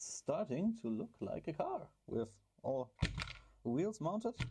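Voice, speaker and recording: A man with a German accent speaks in a dark, mellow tone at high pitch, his voice making very wide pitch swings. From Germany. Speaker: RC car hobby YouTuber. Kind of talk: build tutorial. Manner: casual, hesitant with fillers.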